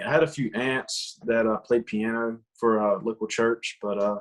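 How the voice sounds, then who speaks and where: Talking at a moderate pace, a man with a medium pitch speaks in a Southern accent. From US South, rural Georgia. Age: 20s. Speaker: country singer. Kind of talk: casual chat.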